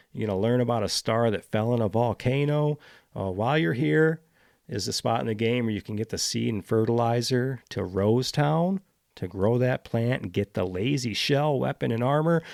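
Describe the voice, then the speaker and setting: In a very clean recording with a silent background and a dry, close sound with no echo, a man at medium pitch speaks with lively intonation. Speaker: video game podcast host. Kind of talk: casual monologue. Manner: fast; animated.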